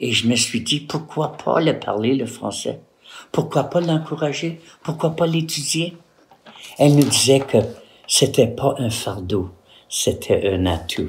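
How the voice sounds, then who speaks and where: Speaking at a very slow pace, a man with a fairly high pitch and vocal fry shows lively intonation and big swings in loudness. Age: old. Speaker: retired postal worker and art teacher. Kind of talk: personal testimony to camera.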